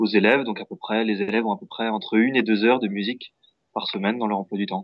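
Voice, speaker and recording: At a very fast pace, a man talks at a fairly low pitch with fairly even intonation. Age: 20s. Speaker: music teacher. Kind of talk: interview. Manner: hesitant, many fillers.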